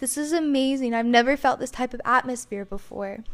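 A woman's high voice with fairly even intonation, on a very clean recording with a silent background. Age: 20s. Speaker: podcast host and princess performer. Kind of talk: casual monologue.

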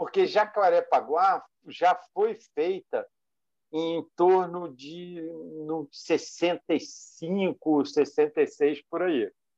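Speaking at a very slow pace, a man with a high voice and ordinary pitch variation is heard in a dry, close recording with no echo. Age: 60s. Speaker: sim racer, team manager, youtuber. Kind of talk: casual interview. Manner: hesitant, repetitive fillers.

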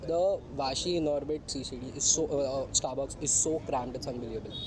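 A man speaks. Background noise is noticeable. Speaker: podcast host. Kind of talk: casual chat. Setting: outdoors.

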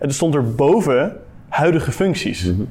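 The man's somewhat breathy voice swings very widely in pitch. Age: 20s. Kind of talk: interview. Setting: at a table with guest.

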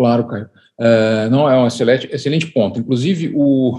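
With a dark, mellow tone, a man talks at a moderate pace and keeps his intonation fairly even. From Brazil, Curitiba, Paraná. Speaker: physicist and laboratory director. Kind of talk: interview. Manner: hesitant, many fillers.

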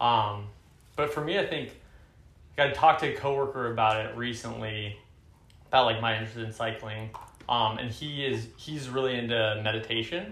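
Man with an American accent, medium pitch, ordinary pitch variation and a moderate pace broken by long, frequent pauses, in audible room echo. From US West Coast, Oakland, California. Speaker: startup employee. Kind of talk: casual chat. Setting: apartment. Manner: hesitant, many fillers.

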